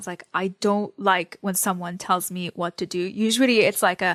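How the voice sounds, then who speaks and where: A woman with an Arabic accent at medium pitch and a moderate pace, dry and close with no echo, in a very clean recording against a silent background. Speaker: newsletter writer. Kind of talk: interview.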